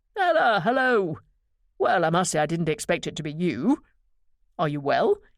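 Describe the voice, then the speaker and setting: A booming, put-on character voice at a middle pitch moves at a moderate pace with long, frequent pauses. The recording is very clean with a silent background. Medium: read story. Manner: courteous, formal.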